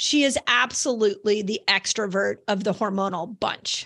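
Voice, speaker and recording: A woman speaks in a raised, projected voice with a bright, sharp tone. The background is quiet. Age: 50s. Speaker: health podcast host and author. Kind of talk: solo educational monologue. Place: home room. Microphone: studio mic.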